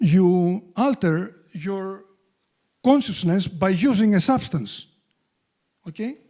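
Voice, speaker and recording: On a very clean recording with a silent background, a man with a strong Greek accent and high pitch speaks very slowly in a dark, mellow tone, with ordinary pitch variation and long, frequent pauses. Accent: thick Greek. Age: 60s. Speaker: addiction treatment expert. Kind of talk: public talk. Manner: halting.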